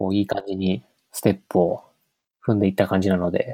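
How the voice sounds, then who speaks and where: A dark, mellow tone comes through at a moderate pace with a dry, close sound and no echo. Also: man. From western Gifu, Japan. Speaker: software developer, conference organizer. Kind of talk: casual chat.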